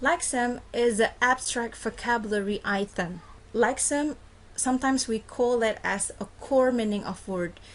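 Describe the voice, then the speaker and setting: Her pitch high, a woman talks at a fairly slow pace with ordinary pitch variation. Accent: Indonesian. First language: Indonesian. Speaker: university lecturer. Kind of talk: lecture. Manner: code-switching between English and Indonesian.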